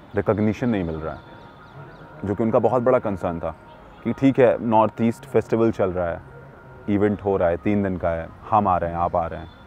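Music plays in the background as a man speaks at a moderate pace. His fairly low voice shows ordinary pitch variation, and the sound is dry with no echo. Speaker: video reporter. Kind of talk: commentary. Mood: thoughtful, concerned. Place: street.

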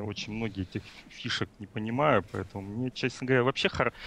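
A man at medium pitch speaks at a fairly quick pace with ordinary pitch variation. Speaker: viewer, chat moderator helper. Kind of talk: question session over call. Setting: Skype call.

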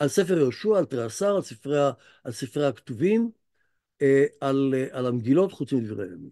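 Speaking at a moderate pace, a man has a fairly high pitch and a dark, mellow tone. His pitch swings very widely over a quiet background. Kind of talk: lecture. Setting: video call. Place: home room. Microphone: video call.

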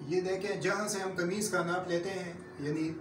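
A high-pitched man's voice with ordinary pitch variation amid noticeable background noise. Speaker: tailoring instructor. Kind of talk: tutorial. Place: classroom. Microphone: camera far.

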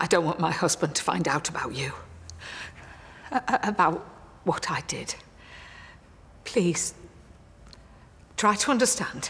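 A woman whispers fairly slowly, with long, frequent pauses between words. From England. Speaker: actress. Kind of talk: drama scene acting. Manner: hesitant, emotional. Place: church.

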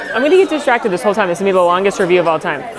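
A woman's voice over crowd noise in the background. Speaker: food vlogger. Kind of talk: casual vlog chat. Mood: excited, delighted. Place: cafe. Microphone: phone near.

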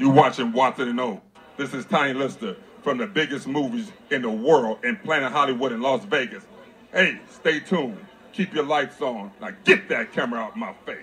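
A man uses a put-on character voice, gruff and menacing, at a medium pitch with very wide pitch swings. He keeps a moderate pace. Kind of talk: mock-threatening comic menace. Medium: short film. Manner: menacing, gruff, commanding.

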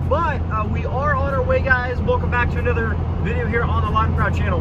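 A man at a moderate pace, loud background noise, dry sound with no echo. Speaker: vlogger driving. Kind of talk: casual vlog chat. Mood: playful, self-mocking. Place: car. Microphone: phone near.

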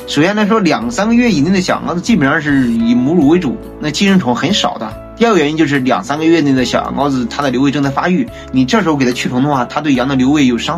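The speaker talks at a very fast pace. Clear music is heard in the background. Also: man. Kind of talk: casual vlog chat. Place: home room.

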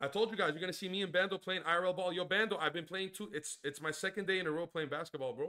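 A loud, animated man with a high pitch, at a very fast pace with ordinary pitch variation, against a quiet background. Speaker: gaming streamer. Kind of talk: live stream chat. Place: home room.

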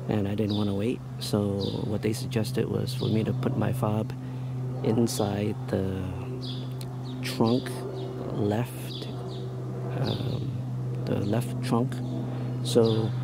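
Against loud background noise, a man speaks at a very slow pace with long, frequent pauses, the sound dry with no echo. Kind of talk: casual vlog chat. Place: street. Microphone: phone near.

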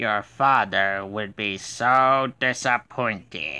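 A man uses a put-on character voice at a medium pitch. He speaks at a very slow pace over a quiet background. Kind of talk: voice audition. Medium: voice reel. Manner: menacing, taunting.

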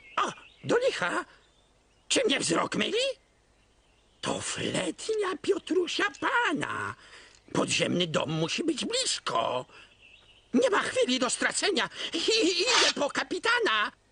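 In a cartoonish character voice pitched extremely high, the speaker moves at a fairly slow pace with long, frequent pauses. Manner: bumbling, talks to himself.

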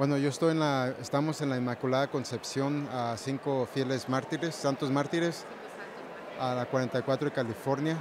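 A man at a fairly high pitch and moderate pace, monotone, flat intonation, very even loudness, a dry sound with no echo and noticeable background noise. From Morelia, Michoacán, Mexico. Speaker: newly ordained deacon. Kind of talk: interview. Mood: warm, joyful occasion. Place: church. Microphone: handheld.

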